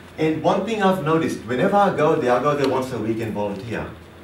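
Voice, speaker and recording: A man with a fairly high voice talking very fast, lively intonation and an animated tone, with noticeable background noise and audible room echo. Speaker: public speaker and trainer. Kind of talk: seminar presentation. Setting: seminar room with audience. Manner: fast when excited; animated, interactive.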